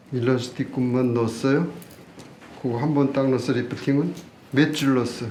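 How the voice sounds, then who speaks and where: Flat, monotone speech at a moderate pace, with long, frequent pauses, audible room echo and noticeable background noise. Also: man, medium pitch for a man. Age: 60s. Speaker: doctor. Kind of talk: live demonstration lecture. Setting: live seminar. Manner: casual.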